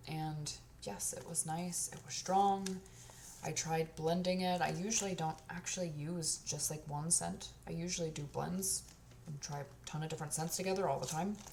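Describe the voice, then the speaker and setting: Over noticeable background noise, a woman with a very deep, low voice talks at a moderate pace with ordinary pitch variation. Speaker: candle and body care reviewer. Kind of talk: casual product review monologue. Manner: casual, lots of filler words.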